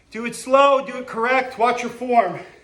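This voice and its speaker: A man's extremely high-pitched voice at a very slow pace, with audible room echo. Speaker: physical education teacher. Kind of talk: exercise tutorial. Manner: panting, halting.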